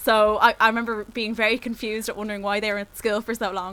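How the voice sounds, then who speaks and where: A woman talks at a very fast pace with a Dublin accent. Her fairly high voice has a bright, sharp tone. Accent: Dublin Irish. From Ireland, Dublin. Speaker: podcast co-host. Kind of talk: casual chat. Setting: Skype call.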